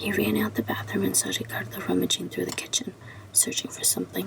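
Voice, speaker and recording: Whispering, a woman speaks against noticeable background noise. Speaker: ASMR creator. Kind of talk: ASMR book reading. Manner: whispered.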